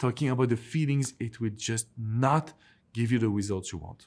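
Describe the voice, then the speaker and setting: On a very clean recording with a silent background, a man with a strong French accent speaks at medium pitch and a moderate pace, with ordinary pitch variation. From France. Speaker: relationship coach. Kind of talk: advice vlog to camera.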